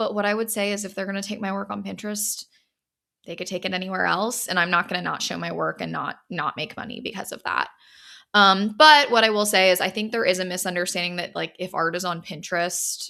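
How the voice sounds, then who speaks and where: In a very clean recording with a silent background, a woman speaks at a very fast pace. Her medium-pitched voice has a bright, sharp tone, vocal fry and ordinary pitch variation. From US South. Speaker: podcast host and gallery owner. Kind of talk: solo podcast monologue. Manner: casual, filler-heavy.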